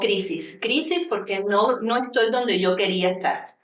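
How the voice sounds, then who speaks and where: A woman's fairly high voice at a fairly slow pace. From Cuba. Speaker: university vice-rector. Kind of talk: radio interview.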